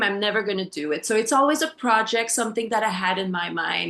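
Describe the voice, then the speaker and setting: The speaker has a French accent and a bright, sharp tone with ordinary pitch variation. The background is quiet. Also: woman. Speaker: health coach. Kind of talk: personal testimony in a group call. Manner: halting, many fillers.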